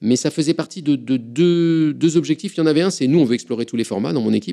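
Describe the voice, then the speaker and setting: Speaking at a very fast pace, a man has a fairly high pitch and a dark, mellow tone. Vocal fry runs through his voice. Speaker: physicist and science communicator. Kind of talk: interview. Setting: recorded interview at a climate venue.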